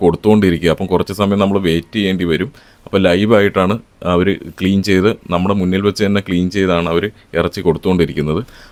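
A man speaks in a very deep, low pitch with monotone, flat intonation. The sound is dry and close, with no echo. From Kerala, Alappuzha district (Upper Kuttanad, near Haripad). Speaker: food and travel vlogger. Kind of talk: vlog narration. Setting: outdoors.

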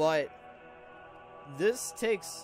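A man speaks with music in the background. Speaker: gaming YouTuber. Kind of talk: gameplay commentary. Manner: stuttering, repeated words; casual.

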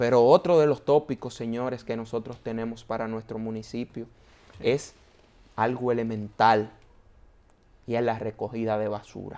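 A man speaks at a moderate pace with long, frequent pauses. His tone is dark and mellow, and his intonation stays fairly even. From Dominican Republic, San Antonio de Guerra; Dominican Republic. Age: 30s. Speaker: broadcaster and mayoral candidate; candidate. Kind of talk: interview. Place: studio. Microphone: lapel.

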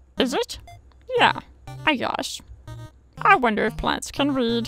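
Faint music plays in the background as a female-sounding put-on character voice speaks at a fairly slow pace. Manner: shy, hesitant.

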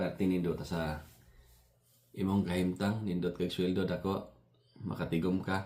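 The voice moves at a moderate pace with vocal fry. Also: man. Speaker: vlogger, factory maintenance worker. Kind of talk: casual vlog monologue. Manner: halting.

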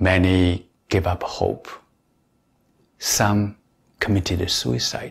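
In a calm tone and a somewhat breathy voice, someone speaks at a very slow pace with ordinary pitch variation and long, frequent pauses. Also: man, very deep, low pitch for a man. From China. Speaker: meditation teacher. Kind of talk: guided meditation. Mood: calm, reflective. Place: home room.

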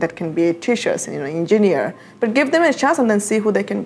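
A woman talks at a very fast pace while music plays in the background. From Rohingya community, Myanmar. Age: 20s. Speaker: refugee advocate. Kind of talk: interview answer. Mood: earnest, reflective. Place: office.

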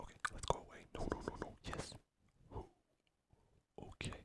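Whispering at a very slow pace. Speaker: ASMR gaming content creator. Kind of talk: ASMR gaming commentary. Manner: whispered, relaxing.

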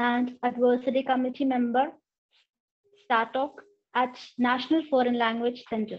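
A woman speaks at a high pitch in a monotone, flat intonation. She leaves long, frequent pauses. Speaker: college professor and nun; college professor. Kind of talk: formal introduction. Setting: video call. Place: home room. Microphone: video call.

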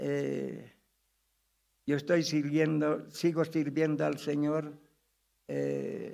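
The speaker here is a man. Nothing much is heard behind him. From Bolivia, Cochabamba; Bolivia. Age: 90s. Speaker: pastor. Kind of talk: testimony; sermon. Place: church. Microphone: podium.

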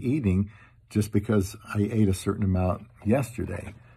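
Somewhat breathy and fairly low in pitch, a man speaks at a moderate pace with fairly even intonation. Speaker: vlogger. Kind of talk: casual vlog chat. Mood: humorous, self-deprecating. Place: home room. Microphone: phone near.

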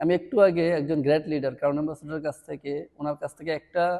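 Fairly high in pitch, a man speaks with fairly even intonation in a normal speaking voice. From Bangladesh, Comilla (Burichang). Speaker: network marketing leader. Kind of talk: motivational talk.

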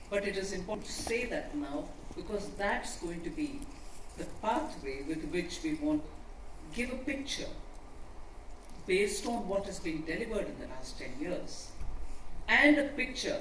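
A fairly slow delivery with long, frequent pauses, audible room echo and light background noise. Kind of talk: formal speech. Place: hall.

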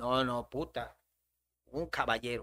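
Behind a quiet background, a man speaks at a fairly slow pace. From Yucatán, Mexico. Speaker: comedian; podcast guest. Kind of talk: casual chat. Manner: animated. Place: studio. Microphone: studio mic.

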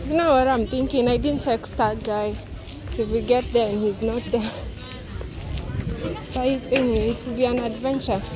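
A woman's high-pitched voice at a moderate pace, with long, frequent pauses, fairly even intonation, a dry sound with no echo, and noticeable background noise. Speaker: travel vlogger. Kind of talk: casual vlog chat. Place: street. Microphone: phone near.

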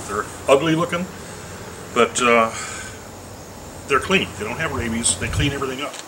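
Noticeable background noise behind a male voice. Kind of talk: tutorial. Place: garden.

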